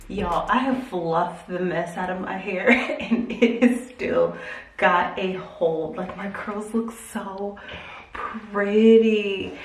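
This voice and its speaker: Speaking at a very slow pace, a woman with a medium pitch shows big swings in loudness, amid audible room echo and noticeable background noise. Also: ordinary pitch variation. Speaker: hair and lifestyle vlogger. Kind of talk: casual chatty vlog. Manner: animated.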